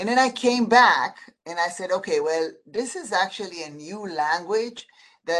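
Speaking in a normal speaking voice with an American accent, a woman holds a medium pitch with ordinary pitch variation. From outside the US. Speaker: eye surgeon and medical group president. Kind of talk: podcast interview. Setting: video call.

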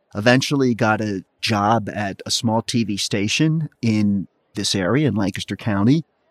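In an American accent, a man speaks at a medium pitch with lively intonation and an unremarkable speaking voice. The sound is dry and close with no echo, on a very clean recording with a silent background. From central Pennsylvania, Lititz. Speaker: investigative TV reporter turned venue owner. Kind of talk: casual chat. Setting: stage of a venue.

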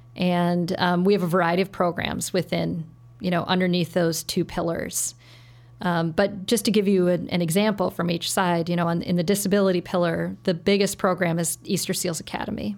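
This woman has a normal speaking voice, fairly low in pitch, with an American accent. She moves at a fairly quick pace in a very clean recording with a silent background. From US Upper Midwest, Saint Paul, Minnesota. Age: 40s. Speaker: nonprofit CEO. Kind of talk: interview.

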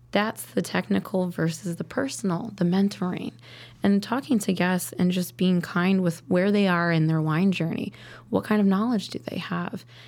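At a moderate pace and with ordinary pitch variation, the voice comes through on a very clean recording with a silent background. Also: woman, medium pitch for a woman. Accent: Midwestern US. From Chicago suburbs and rural Wisconsin. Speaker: sommelier. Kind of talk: interview.

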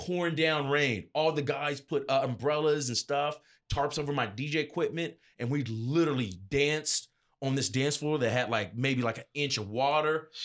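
On a very clean recording with a silent background, a man speaks at a moderate pace in a fairly high pitch, with ordinary pitch variation. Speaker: DJ and event entertainer. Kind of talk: casual interview. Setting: studio. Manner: loud, talkative.

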